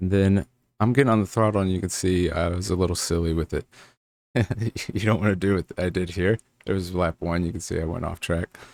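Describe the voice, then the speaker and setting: On a very clean recording with a silent background and a dry, close sound with no echo, a man with a very deep, low pitch speaks in fairly even intonation with long, frequent pauses. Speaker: sim racing setup creator. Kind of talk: tutorial commentary over gameplay. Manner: casual, filler-heavy.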